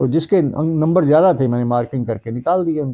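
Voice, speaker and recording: Dark, mellow tone from a man, with ordinary pitch variation. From Punjab, India (Jalandhar district village). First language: Punjabi (speaking Hindi). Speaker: retired Hindi professor. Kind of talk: interview.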